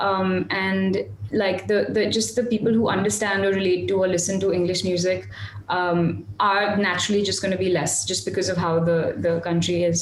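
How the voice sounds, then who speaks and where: A woman speaks at a moderate pace with ordinary pitch variation and very even loudness, with audible room echo and noticeable background noise. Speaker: independent singer. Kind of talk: interview. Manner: halting.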